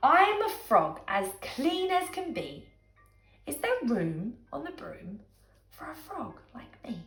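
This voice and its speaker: Putting on a croaky character voice, a woman speaks at a fairly slow pace. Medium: read story.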